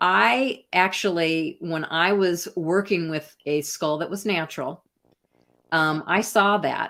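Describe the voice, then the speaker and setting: In an American accent, the speaker talks at a very slow pace with a bright, sharp tone and ordinary pitch variation. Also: woman, fairly low pitch for a woman. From US Midwest, Iowa. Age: 60s. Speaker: artist and researcher. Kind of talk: interview conversation.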